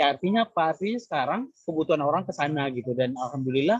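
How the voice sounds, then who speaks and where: Speaking very fast with a Minangkabau accent, a man uses a fairly high pitch and a somewhat breathy voice, recorded dry and close with no echo. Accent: Minang. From West Sumatra, Minangkabau. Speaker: content creator, former radio announcer. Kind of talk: panel talk at virtual career expo.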